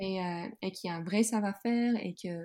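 A woman's somewhat breathy voice with a dark, mellow tone, medium pitch and ordinary pitch variation. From Netherlands, Groningen. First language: Dutch (speaking French). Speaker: yoga teacher and clothing entrepreneur. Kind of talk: casual interview. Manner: halting, many repetitions and fillers.

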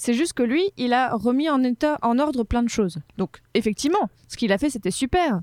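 Lively intonation from a woman at a high pitch and moderate pace, in a dry, close sound with no echo. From Morocco, Casablanca. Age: 20s. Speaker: history podcaster. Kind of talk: casual chat.

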